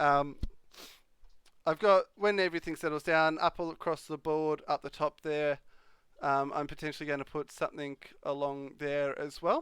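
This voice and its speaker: Against a quiet background, a man with an Australian accent and fairly high pitch speaks at a moderate pace with ordinary pitch variation and a dry, close sound with no echo. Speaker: live streamer. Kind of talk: casual live stream chat. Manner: hesitant, many fillers.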